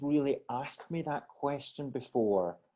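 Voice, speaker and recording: With a Scottish accent, a man speaks at a fairly high pitch in a dark, mellow tone. His pitch variation is ordinary. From Scotland, Glasgow. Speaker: wellness coach. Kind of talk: podcast interview. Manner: halting, repeats words.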